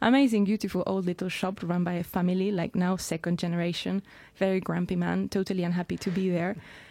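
Very fast speech from a woman with a Spanish accent, dark, mellow tone and fairly even intonation, on a very clean recording with a silent background. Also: medium pitch for a woman. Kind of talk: radio interview. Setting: studio.

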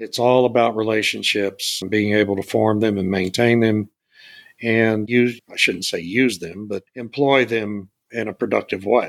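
This is a man with a normal speaking voice and an American accent. He talks at a fairly low pitch and a moderate pace, with fairly even intonation. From South Texas (Beeville). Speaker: energy consultant and podcast host. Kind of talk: interview. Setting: podcast interview.

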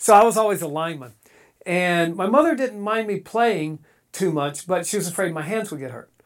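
A man with an American accent at a high pitch, lively intonation and moderate pace, in a very clean recording with a silent background. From eastern North Carolina. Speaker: actor. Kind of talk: casual chat. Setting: studio.

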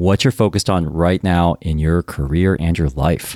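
The recording is very clean, with a silent background and a dry, close sound with no echo. A man talks at a fairly quick pace. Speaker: podcast host. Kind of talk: interview.

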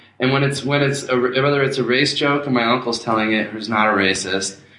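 A man speaks at a medium pitch in a bright, sharp tone with ordinary pitch variation. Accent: American. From New Jersey. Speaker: podcast co-host. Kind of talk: casual chat. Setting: his own apartment.

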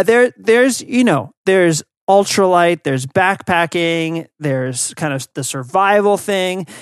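A high-pitched man with an American accent, animated in tone and lively in intonation, at a fairly slow pace, in a dry, close sound with no echo and a quiet background. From United States. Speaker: podcast co-host. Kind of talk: casual chat. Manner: animated, laughs often.

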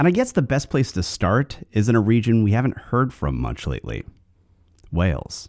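A man with an American accent and vocal fry talks at a moderate pace, his pitch swinging very widely. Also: medium pitch for a man. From US West Coast. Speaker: podcast host. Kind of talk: scripted narration, history podcast.

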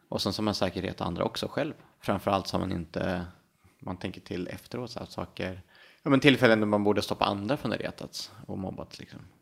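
A man talks in a normal speaking voice, fairly low with ordinary pitch variation. His pace is fairly quick, and his loudness swings widely. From Sweden, Härnösand, Ångermanland. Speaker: city planner and spinal cord injury survivor. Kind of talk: interview conversation.

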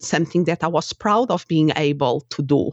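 Very deep, low female voice in a Portuguese accent at a fairly slow pace. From Portugal. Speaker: life coach and former psychotherapist. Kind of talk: interview conversation.

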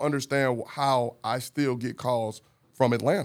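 In an American accent, a man talks with a normal speaking voice at a medium pitch. The recording is very clean, with a silent background. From St. Louis, Missouri, US. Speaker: former police officer, community organizer. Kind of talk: casual chat. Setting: studio.

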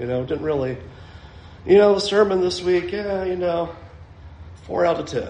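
A man's high-pitched voice with lively intonation, amid audible room echo and noticeable background noise. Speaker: preacher. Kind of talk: sermon.

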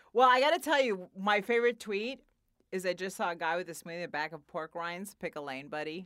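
A loud woman's voice at a very fast pace, in a very clean recording with a silent background. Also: medium pitch for a woman, lively intonation. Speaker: podcast host and comedian. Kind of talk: casual interview.

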